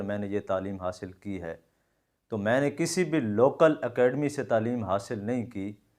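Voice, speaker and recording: The pitch varies in an ordinary way. Behind it the background stays quiet. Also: man. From Pakistan, Punjab (Jhang district). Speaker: Korean language teacher. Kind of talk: video address to viewers. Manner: informal, mixing Punjabi and Saraiki into Urdu.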